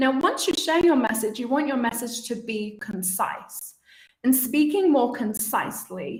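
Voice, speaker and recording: With a British accent, a woman speaks at a high pitch and a fairly slow pace. Her intonation is lively, and audible room echo surrounds her. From UK. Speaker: communication coach and podcaster. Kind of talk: live webinar talk. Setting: live stream.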